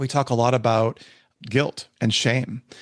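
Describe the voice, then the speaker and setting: Against a quiet background, a man with an ordinary speaking voice talks at a moderate pace and medium pitch in a dry, close sound with no echo. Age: 60s. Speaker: podcast host. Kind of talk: casual chat.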